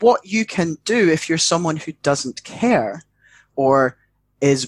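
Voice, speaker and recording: Dry and close with no echo on a very clean recording with a silent background, a man with a British accent speaks with lively intonation. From UK. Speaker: educator and mental health worker. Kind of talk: casual chat.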